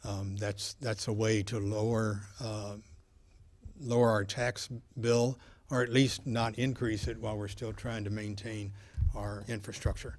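A man talks slowly, at a fairly low pitch and in a monotone, flat way. His voice is somewhat breathy. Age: 70s. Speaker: city council member. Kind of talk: political debate. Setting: stage with audience. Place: hall. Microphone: podium.

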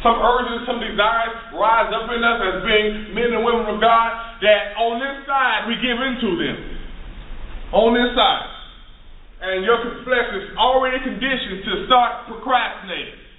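A man talks at an extremely high pitch. Room echo is audible around him. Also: moderate pace. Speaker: minister preaching. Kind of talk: rousing call-and-response sermon to a congregation. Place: classroom. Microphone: camera far.

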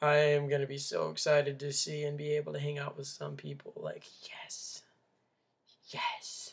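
A man with an American accent talks at a moderate pace, leaving long, frequent pauses. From Minnesota. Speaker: vlogger. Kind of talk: casual vlog monologue. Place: home room. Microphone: webcam.

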